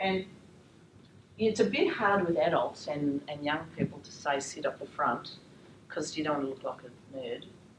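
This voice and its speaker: A woman speaks with an Australian accent and lively intonation, her loudness swinging widely. Long pauses come often, and the room echo is audible. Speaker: teacher trainer. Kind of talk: lecture. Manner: fast.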